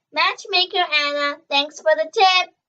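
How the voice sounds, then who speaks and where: In a put-on character voice, a woman squeaks at an extremely high pitch, with ordinary pitch variation. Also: moderate pace. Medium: read story. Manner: warm, gentle.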